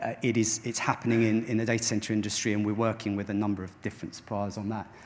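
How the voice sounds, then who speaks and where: This man speaks at a very fast pace. His fairly low voice stays monotone and flat. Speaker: tech company founder and CEO. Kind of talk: conference keynote talk. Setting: stage with audience. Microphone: microphone quite far away.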